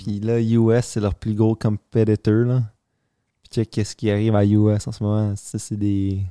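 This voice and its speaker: A dark, mellow tone with monotone, flat intonation, a fairly slow pace and big swings in loudness over a quiet background. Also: man, fairly low pitch for a man, dry, close sound with no echo. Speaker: podcast co-host. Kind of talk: casual chat.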